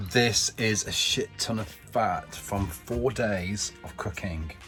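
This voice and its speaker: There is noticeable noise in the background. Over it, a man talks with lively, varied intonation. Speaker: vlogger. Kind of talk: casual vlog monologue.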